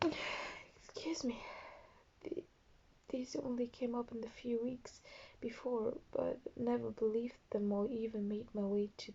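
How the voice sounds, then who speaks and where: A woman with a non-native accent, speaking at a fairly slow pace. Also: fairly high pitch for a woman, ordinary pitch variation. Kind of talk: story reading.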